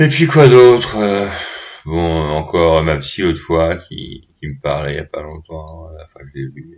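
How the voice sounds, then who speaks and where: Talking at a fairly slow pace, a man with a very deep, low voice shifts loudness in big swings while his pitch varies an ordinary amount. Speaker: vlogger. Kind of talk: casual monologue. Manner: halting.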